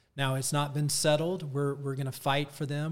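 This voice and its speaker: Heard in a very clean recording with a silent background, a man with an American accent speaks at a fairly high pitch with monotone, flat intonation. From Atlanta, US South. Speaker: school association director. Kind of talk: casual interview.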